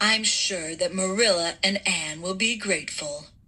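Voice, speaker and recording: A woman at a medium pitch performs a put-on character voice. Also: moderate pace. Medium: read story.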